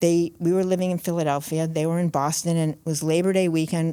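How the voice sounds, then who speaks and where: A woman's fairly low, dark, mellow voice moves at a fairly quick pace in a monotone, flat intonation on a very clean recording with a silent background. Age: 70s. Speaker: author. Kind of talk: interview storytelling.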